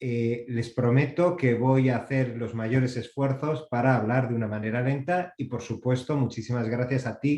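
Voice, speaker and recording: A man talks at a fairly slow pace. His pitch is medium and his intonation fairly even. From Basque Country, Spain. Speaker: copyright organization representative, panelist. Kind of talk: panel presentation.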